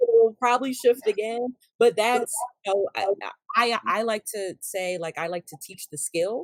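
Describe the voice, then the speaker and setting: With a plain, everyday voice, a woman speaks at a moderate pace and a fairly high pitch, with ordinary pitch variation and big swings in loudness, in a dry, close sound with no echo. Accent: American. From US South. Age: 40s. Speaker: professor and social worker. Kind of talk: podcast interview.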